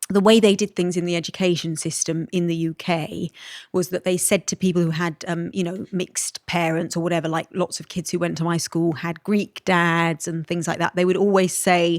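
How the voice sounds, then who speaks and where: Speaking with a British accent, a woman uses a fairly low pitch and a monotone, flat intonation. The sound is dry and close with no echo, and the recording is very clean with a silent background. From Malta. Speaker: podcast guest. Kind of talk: casual chat.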